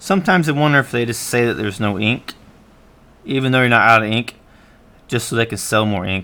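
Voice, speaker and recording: A man with a medium pitch and a bright, sharp tone speaks at a very fast pace, broken by long, frequent pauses. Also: ordinary pitch variation. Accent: Southern US. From Florida, US South. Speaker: artist live-streamer. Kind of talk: casual live-stream chat while drawing. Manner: rambling with fillers.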